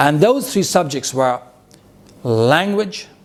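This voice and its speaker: Very wide pitch swings mark a man speaking at a very slow pace over noticeable background noise. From India, Bihar. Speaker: public speaking coach. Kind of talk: motivational talk. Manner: animated.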